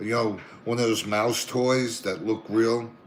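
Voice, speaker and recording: A man with a Brooklyn accent speaks with ordinary pitch variation over noticeable background noise. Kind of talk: casual chat, telling anecdotes. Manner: animated.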